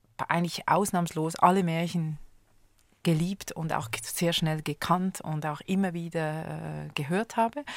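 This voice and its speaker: A woman with an unremarkable speaking voice uses ordinary pitch variation on a very clean recording with a silent background. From Switzerland. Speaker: conductor and music educator. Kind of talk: radio interview. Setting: studio.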